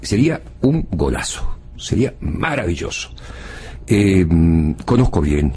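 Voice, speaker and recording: Through noticeable background noise, a man with an Argentine accent speaks in a very deep, low pitch with lively intonation. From Argentina, Buenos Aires. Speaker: former foreign minister, political analyst. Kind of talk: TV panel discussion. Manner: hesitant, many fillers.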